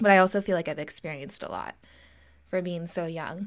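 Fairly even intonation marks this speech in an American accent, captured as a very clean recording on a silent background. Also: woman. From US West Coast (Lincoln, California). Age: 20s. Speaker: podcast host. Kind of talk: solo personal monologue. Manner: casual, frequent fillers and laughs.

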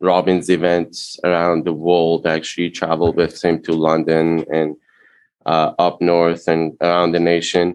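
A man speaks in a very deep, low voice with a Persian accent. His loudness stays very even, and his intonation is flat and monotone. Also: moderate pace. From Iran. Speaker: restaurant franchise founder. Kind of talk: interview. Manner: halting.

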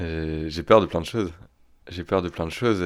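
In a very clean recording against total silence, a male voice sounds very deep and low. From northern France, Picardy. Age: 30s. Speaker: fear specialist. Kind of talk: interview. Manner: halting.

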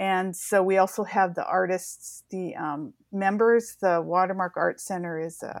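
With an American accent, a woman talks at a moderate pace in an ordinary speaking voice. Her pitch sits fairly low and her intonation stays fairly even. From Washington State, US. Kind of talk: interview.

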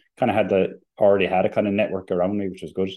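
A man is speaking. He has a Limerick accent. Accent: Limerick Irish. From Limerick, Ireland. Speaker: company CEO and electricity expert. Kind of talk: interview.

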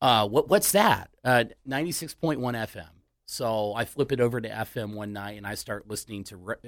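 On a very clean recording with a silent background, a man with an American accent speaks at a moderate pace in a medium pitch, with big swings in loudness. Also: ordinary pitch variation. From US Midwest. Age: 30s. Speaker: radio DJ. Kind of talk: casual chat. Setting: studio.

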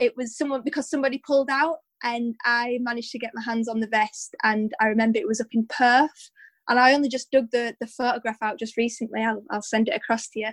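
A woman talks at a very fast pace in a high voice. The sound is dry and close, with no echo. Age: 20s. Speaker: 800 metre runner. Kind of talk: interview. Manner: animated.

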